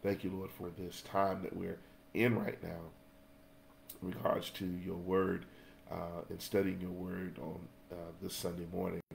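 Over light background noise, a man with a very deep, low pitch speaks at a moderate pace, with long, frequent pauses and big swings in loudness. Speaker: Sunday school teacher. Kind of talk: lesson introduction and prayer. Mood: earnest, prayerful. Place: home room. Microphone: webcam.

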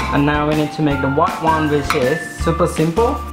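Speech moves at a fairly slow pace over clear music in the background. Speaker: home cook host. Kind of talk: tutorial. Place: kitchen.

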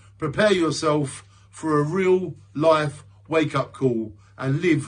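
A man with a fairly high, warm, somewhat breathy voice speaks with ordinary pitch variation. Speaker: poet and video creator. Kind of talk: spoken word poetry. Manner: introspective, rhythmic, earnest delivery; reflective, warm sign-off. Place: home room. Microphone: phone near.

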